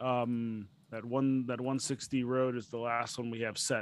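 A man talks at a medium pitch. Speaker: podcast host. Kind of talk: casual banter, livestream hosting. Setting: online livestream. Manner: animated, talkative, jokey.

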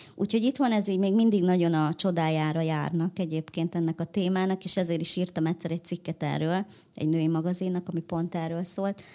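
At a very fast pace, a woman with a fairly low pitch and dark, mellow tone is heard in a very clean recording with a silent background. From Hungary. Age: 30s. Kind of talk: interview.

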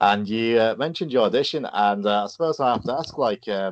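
A man with an English accent, lively intonation and a fairly quick pace, in a dry, close sound with no echo. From England. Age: 30s. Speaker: podcast host. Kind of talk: interview.

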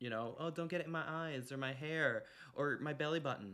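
Here is a man in a plain, everyday voice, pitched fairly high. He talks at a moderate pace with ordinary pitch variation. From Canada. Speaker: podcast host. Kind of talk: casual chat.

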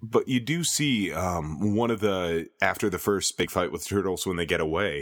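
A man with an American accent speaks at a fairly slow pace, his pitch very deep and low and his intonation lively. The recording is very clean with a silent background. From Minnesota, US. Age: 30s. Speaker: podcast editor, guest. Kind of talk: casual chat about movies.

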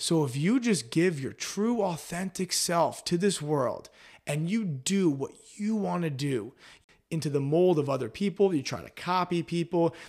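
A man with a high pitch speaks in an animated tone with lively intonation. The recording is very clean, with a silent background. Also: moderate pace. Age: 20s. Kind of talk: casual chat. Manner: high energy.

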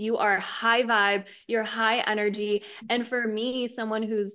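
The tone is bright and sharp, the pace fairly slow, and the background quiet. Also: woman. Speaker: spiritual teacher. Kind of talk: casual interview. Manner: calm delivery.

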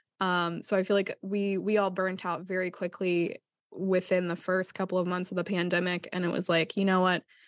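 A woman with an American accent speaks over a quiet background. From Ohio, US. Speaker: podcast co-host and artist. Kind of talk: casual chat.

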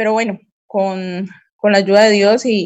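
A woman with a Cali Colombian accent speaks at a very slow pace. Her medium-pitched voice stays monotone and flat. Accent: Colombian Spanish from Cali. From Colombia, Cali. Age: 40s. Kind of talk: interview testimony. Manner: hesitant, many fillers and repetitions.

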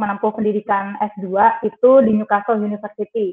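Music plays in the background. A woman speaks at a fairly high pitch and a moderate pace. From Trenggalek, East Java, Indonesia. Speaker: journalist. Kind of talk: webinar talk.

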